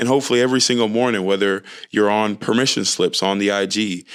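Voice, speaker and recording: With a normal speaking voice and an American accent, a man talks at a fairly quick pace and a fairly low pitch with fairly even intonation, on a very clean recording with a silent background. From Texas, Nigerian family. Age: 20s. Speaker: podcast host. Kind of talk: solo podcast monologue.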